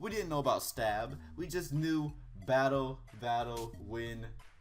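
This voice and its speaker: Behind the man who is speaking, noticeable background noise can be heard. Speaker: gaming YouTuber. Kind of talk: casual video commentary. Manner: animated; stumbling over words.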